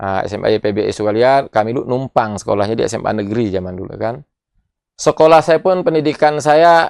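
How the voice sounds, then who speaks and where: A man speaks with a strong Bangka accent and lively intonation at a fairly quick pace. The sound is dry and close with no echo, and the background is quiet. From Bangka island, Indonesia. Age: 40s. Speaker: politician, regional head candidate. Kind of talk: interview.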